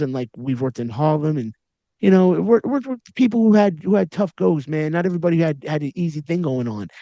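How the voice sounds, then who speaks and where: A man's high-pitched, dark, mellow voice with a New York accent at a very fast pace, in a dry, close sound with no echo and a quiet background. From Long Island, New York. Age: 40s. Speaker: podcast host, educator. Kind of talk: interview conversation. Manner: animated.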